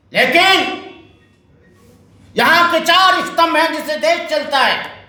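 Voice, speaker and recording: This man's voice is raised and projected, at an extremely high pitch. His intonation stays fairly even, and the room echo is audible. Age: 70s. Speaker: Buddhist monk. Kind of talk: political speech. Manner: fiery, impassioned.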